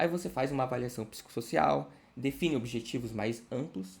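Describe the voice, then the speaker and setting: There's vocal fry in this man's medium-pitched voice. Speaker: study group instructor. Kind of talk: lecture. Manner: fast.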